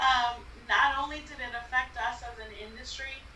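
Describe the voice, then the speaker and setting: A woman's speech carries audible room echo, with noticeable background noise underneath. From Texas, Brownsville. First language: Spanish. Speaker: event planner. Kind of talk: interview.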